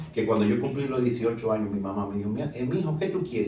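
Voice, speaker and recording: A man talks at a very fast pace with lively intonation and a medium pitch. Audible room echo surrounds his voice. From Dominican Republic, San Pedro de Macorís. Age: 60s. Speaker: plastic surgeon. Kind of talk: interview.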